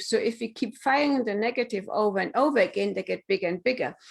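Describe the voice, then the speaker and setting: Speaking with a German accent, a woman uses a fairly high pitch and ordinary pitch variation. The recording is very clean, the background silent. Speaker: business coach and author. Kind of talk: casual interview chat. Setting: live stream on social media.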